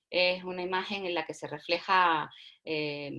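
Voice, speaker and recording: In a very clean recording with a silent background, a woman speaks at a very slow pace with a bright, sharp tone and a fairly low pitch. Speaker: workshop facilitator. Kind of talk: lecture.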